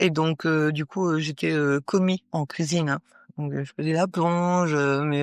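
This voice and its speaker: A woman with a very deep, low voice talks at a moderate pace and fairly even intonation, the sound dry and close with no echo and the background quiet. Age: 60s. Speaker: paralympic athlete. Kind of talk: interview. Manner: halting, many hesitations.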